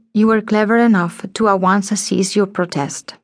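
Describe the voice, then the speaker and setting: A woman uses an ordinary speaking voice at a moderate pace. Her intonation is fairly even, and the background is quiet. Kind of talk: dramatic audiobook narration, first-person historical fiction. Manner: tense, vivid, theatrical, building suspense with shifts into menacing character voices; measured, formal, literary, storyteller's pacing.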